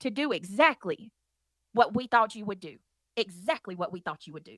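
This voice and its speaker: Fairly quick and animated, a woman with a fairly high pitch uses lively intonation in a dry, close sound with no echo. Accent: Southern US. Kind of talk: heated debate.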